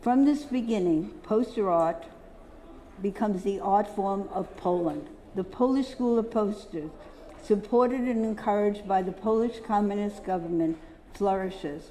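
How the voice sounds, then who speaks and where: A woman with an American accent, ordinary pitch variation, and audible room echo. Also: medium pitch for a woman, moderate pace. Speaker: poster dealer giving a symposium talk. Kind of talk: lecture.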